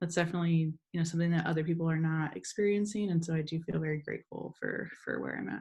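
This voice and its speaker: A woman with a fairly low pitch talks very fast, with hardly any pauses. Her voice is somewhat breathy and her intonation fairly even. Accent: American. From Southern California, Imperial Valley. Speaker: professor and researcher. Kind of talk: interview conversation. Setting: remote call from home.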